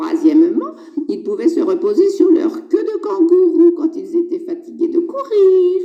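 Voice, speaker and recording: This cartoonish character voice sits at an extremely high pitch and moves at a moderate pace. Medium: puppet. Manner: playful, teasing, falsely innocent.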